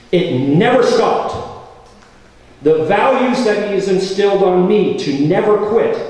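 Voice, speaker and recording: With audible room echo and noticeable background noise, a man speaks at a high pitch and a fairly slow pace, with very even loudness and ordinary pitch variation. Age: 60s. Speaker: radio host and actor. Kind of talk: speech at an event.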